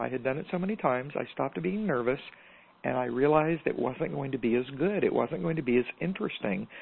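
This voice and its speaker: A woman with an American accent talks at a very fast pace in a very deep, low pitch, with very wide pitch swings. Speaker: podcast host and business mentor. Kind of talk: interview. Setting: phone call. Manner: animated.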